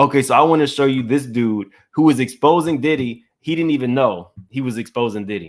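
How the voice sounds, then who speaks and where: A man with a slight Louisiana accent talks at a fairly quick pace with hardly any pauses. His pitch is medium, with ordinary variation. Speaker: YouTube commentary host. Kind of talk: live stream commentary. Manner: casual, conversational.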